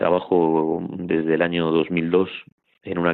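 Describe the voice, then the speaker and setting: A man is speaking. His pitch is very deep and low. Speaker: priest. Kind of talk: interview. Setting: phone call.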